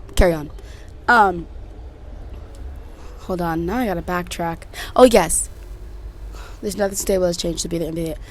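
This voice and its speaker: Audible room echo surrounds a woman with an American accent who talks in an animated tone at a fairly quick pace, with ordinary pitch variation, big swings in loudness, and long, frequent pauses. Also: fairly low pitch for a woman. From Connecticut and Texas, US. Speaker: podcast host. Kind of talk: casual chat.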